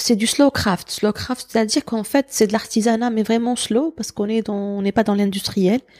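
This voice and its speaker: A woman's fairly high voice at a moderate pace, with hardly any pauses and fairly even intonation, in a dry, close sound with no echo. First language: Algerian Arabic (Darja) (speaking French). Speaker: teacher and cultural writer. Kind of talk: interview conversation.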